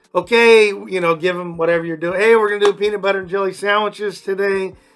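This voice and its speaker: A man talks at a very fast pace with a high pitch. His pitch varies in an ordinary way, and music plays in the background. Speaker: after school program coach and former PE teacher. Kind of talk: casual interview chat. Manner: loud; animated.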